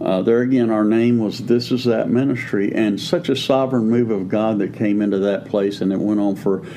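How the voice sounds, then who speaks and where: The speaker talks at a moderate pace with ordinary pitch variation. Background noise is noticeable. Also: man. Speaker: pastor and podcast co-host. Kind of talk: preaching-style teaching conversation.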